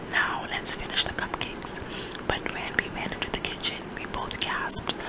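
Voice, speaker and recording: Someone whispers in a soothing tone at a moderate pace. Noticeable background noise sits behind the voice. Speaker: ASMR reader. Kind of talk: children's book reading aloud. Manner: whispered, soothing.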